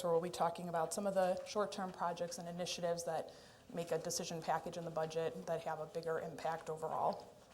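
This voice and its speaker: A woman's fairly low voice, very fast and monotone, with flat intonation and audible room echo. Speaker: city administration official. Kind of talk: budget presentation at council meeting. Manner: loud.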